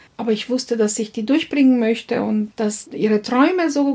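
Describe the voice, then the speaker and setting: A woman talks at a moderate pace in a fairly high pitch. Noticeable background noise sits behind her. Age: 50s. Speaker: business founder. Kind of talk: interview. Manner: halting.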